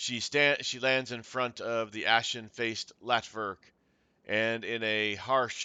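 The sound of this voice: This is an unforced reading voice. Its intonation is fairly even.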